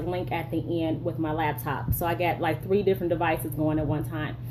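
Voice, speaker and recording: A woman at a fairly quick pace, with audible room echo and noticeable background noise. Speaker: leadership strategist and live streamer. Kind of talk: live stream monologue. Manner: fast. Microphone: bad cell signal.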